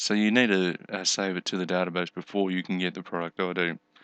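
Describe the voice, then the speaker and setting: A man speaks at a very deep, low pitch with a bright, sharp tone. The sound is dry and close, without echo. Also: quiet background. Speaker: programming tutor. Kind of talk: screen-recorded coding tutorial. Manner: hesitant, many fillers; casual.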